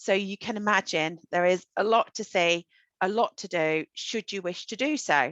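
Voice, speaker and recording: A woman with a British accent at medium pitch and a moderate pace, in a dry, close sound with no echo. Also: ordinary pitch variation, quiet background. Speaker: solo tour company representative. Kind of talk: online travel presentation.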